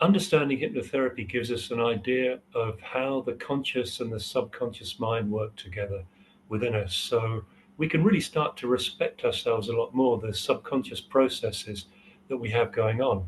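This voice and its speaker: Somewhat breathy, a man of medium pitch talks at a moderate pace with ordinary pitch variation. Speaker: hypnotherapy trainer. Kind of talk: interview. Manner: hesitant, many fillers.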